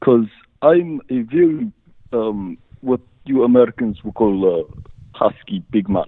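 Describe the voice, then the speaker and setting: A man with a Czech accent and a medium-pitched voice speaks at a fairly slow pace, with very wide pitch swings and long, frequent pauses. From Czechoslovakia. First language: Czech or Slovak. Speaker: caller. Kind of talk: call-in question. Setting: phone call. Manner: halting.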